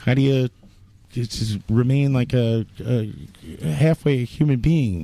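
Speaking at a very slow pace with long, frequent pauses, a man uses a medium pitch, a dark, mellow tone and lively intonation. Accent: New York. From New York. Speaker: podcast host. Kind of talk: casual chat. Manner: profane and joking.

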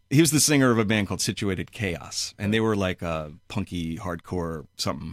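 Very deep and low, a man talks with an American accent at a fairly quick pace with lively intonation. He leaves hardly any pauses, and the recording is very clean with a silent background. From New York City (Flushing, Queens). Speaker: musician. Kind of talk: casual chat. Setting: studio.

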